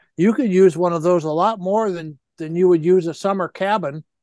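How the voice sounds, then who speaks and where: Recorded against a quiet background with a dry, close sound and no echo, the voice keeps a moderate pace and ordinary pitch variation. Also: man. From Michigan. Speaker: outdoor writer and ice fishing expert. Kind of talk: interview. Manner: halting.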